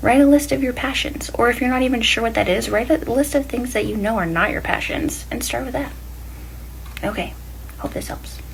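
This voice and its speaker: Noticeable background noise and audible room echo come through as a woman talks. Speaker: self-help podcaster. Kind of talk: casual motivational monologue. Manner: fast; animated.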